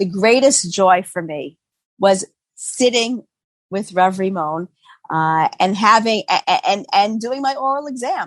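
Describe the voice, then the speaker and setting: At a fairly slow pace, a woman with a Boston accent speaks with lively intonation and a medium pitch, the sound dry and close with no echo. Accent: American, Boston area. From US Northeast, Boston. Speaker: physician and halakha scholar. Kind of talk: interview conversation. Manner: hesitant, many fillers.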